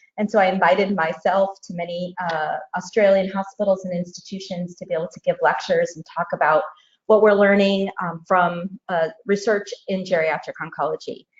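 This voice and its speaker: With an American accent, a woman talks at a moderate pace in a medium pitch and a somewhat breathy voice. Her intonation stays fairly even while her loudness swings widely. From United States. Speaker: oncologist and researcher. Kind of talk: lecture.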